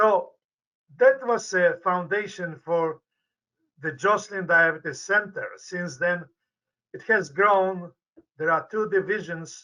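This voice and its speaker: A man's raised, projected voice with a Polish accent, high-pitched and bright, sharp in tone, at a very slow pace with long, frequent pauses and fairly even intonation. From Poland. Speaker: medical researcher, professor. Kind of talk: interview. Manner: halting, repetitive stumbles.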